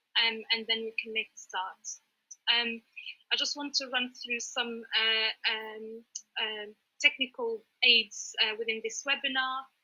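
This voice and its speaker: Long, frequent pauses break up a woman's fairly high, monotone, flat delivery at a fairly slow pace. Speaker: webinar host. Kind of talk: webinar moderation. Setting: online webinar. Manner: slow, deliberate; hesitant, many fillers.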